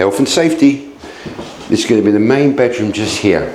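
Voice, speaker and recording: Loud and lively in intonation, a man with an English accent speaks at a medium pitch amid noticeable background noise and audible room echo. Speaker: B&B owner giving a home tour. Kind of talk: casual video tour. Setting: outdoors then indoors, rain starting. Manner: animated.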